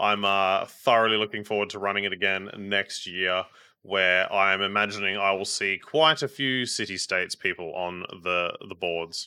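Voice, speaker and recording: An Australian-accented man speaks in a fairly low pitch with a bright, sharp tone and fairly even intonation, on a very clean recording with a silent background. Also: moderate pace. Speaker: podcast host. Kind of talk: casual chat.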